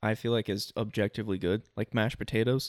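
A man with a normal speaking voice, medium pitch and an American accent, in a dry, close sound with no echo. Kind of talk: casual banter. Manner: joking, interrupts a lot.

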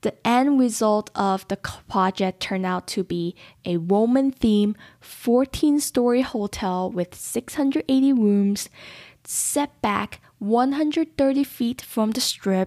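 A woman with an American accent speaks at a very slow pace in a fairly high pitch with ordinary pitch variation and a dark, mellow tone. The recording is very clean with a silent background, and the sound is dry and close with no echo. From Las Vegas, US. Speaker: podcast host. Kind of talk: storytelling monologue. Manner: animated.

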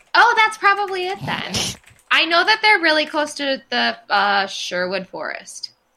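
In an American accent, a woman projects a raised voice at a high pitch, with very wide pitch swings and a fairly slow pace. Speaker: podcast co-host. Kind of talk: casual chat. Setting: remote recording.

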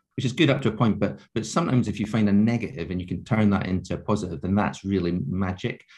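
A fairly low-pitched man at a very fast pace, in a Scottish accent. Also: quiet background. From Scotland, Scottish Borders. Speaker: advertising agency founder. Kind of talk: interview.

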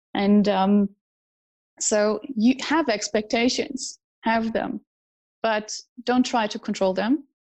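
Her fairly high-pitched, somewhat breathy voice moves at a very slow pace with ordinary pitch variation. The woman leaves long, frequent pauses. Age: 30s. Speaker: personal development trainer. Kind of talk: interview. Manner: hesitant, many fillers.

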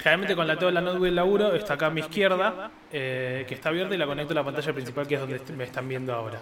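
Noticeable background noise surrounds a man speaking at a very fast pace with hardly any pauses. His pitch is fairly high and varies in an ordinary way. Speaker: video game podcast host. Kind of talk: casual chat.

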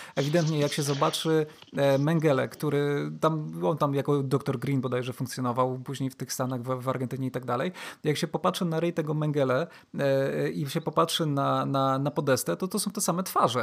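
A man has a normal speaking voice, fairly high in pitch, with ordinary pitch variation. He goes at a fairly quick pace on a very clean recording with a silent background. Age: 30s. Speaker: podcast host. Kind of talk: casual chat.

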